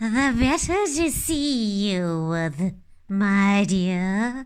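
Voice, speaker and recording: In a very clean recording with a silent background, a woman puts on a character voice at medium pitch and speaks very slowly. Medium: read story. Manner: sly, put-on sweetness.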